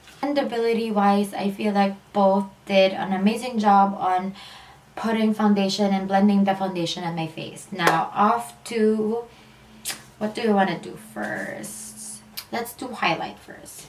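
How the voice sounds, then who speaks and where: Against noticeable background noise, a woman with a medium pitch speaks fairly slowly, her loudness swinging widely. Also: ordinary pitch variation. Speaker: beauty vlogger. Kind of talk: casual talk to camera.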